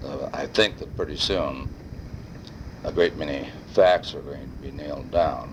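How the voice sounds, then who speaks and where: Noticeable background noise runs under the clip. A man talks at a fairly slow pace. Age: 60s. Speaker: family elder recording family history. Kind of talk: personal oral history monologue. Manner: rambling with filler hesitations.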